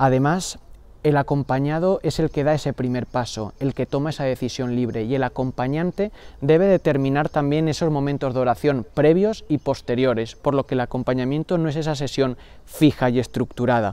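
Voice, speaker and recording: A man with a fairly high pitch and a dark, mellow tone speaks at a moderate pace with ordinary pitch variation in a dry sound with no echo. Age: 20s. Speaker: religious brother in formation; book reviewer. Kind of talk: book review monologue. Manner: formal. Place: garden.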